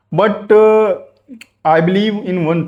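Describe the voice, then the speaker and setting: This man speaks with a North Indian accent. His pitch varies in an ordinary way. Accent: Indian English (Hindi-speaking north India). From Ayodhya, India. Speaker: businessman learning English. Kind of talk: casual talk to camera. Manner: hesitant, halting with fillers.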